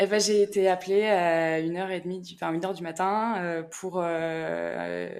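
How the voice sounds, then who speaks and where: On a very clean recording with a silent background, a woman speaks. Her medium pitch carries fairly even intonation. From rural France. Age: 30s. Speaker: rural veterinarian. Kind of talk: podcast interview.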